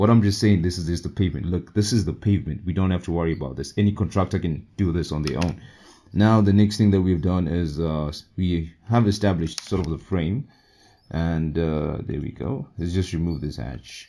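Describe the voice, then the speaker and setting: This man's voice is very deep and low, with a dark, mellow tone and ordinary pitch variation. He speaks fairly quickly on a very clean recording with a silent background. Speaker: civil engineering tutorial youtuber. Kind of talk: software tutorial. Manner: casual, thinking aloud.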